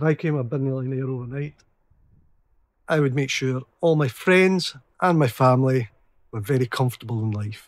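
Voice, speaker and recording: Speaking with a Scottish accent, a man of medium pitch leaves long, frequent pauses. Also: ordinary pitch variation, moderate pace, very clean recording, silent background. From west coast of Scotland. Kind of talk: street interview answer.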